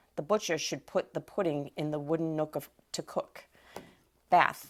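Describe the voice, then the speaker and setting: A woman with a fairly low voice speaks at a fairly slow pace in a flat monotone, recorded very cleanly against a silent background. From Massachusetts. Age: 50s. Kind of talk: reading a word list with example sentences.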